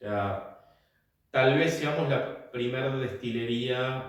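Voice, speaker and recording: In a Rioplatense accent, a man of medium pitch speaks at a very slow pace, with audible room echo. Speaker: whisky distiller, company founder. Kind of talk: interview. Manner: hesitant, with fillers.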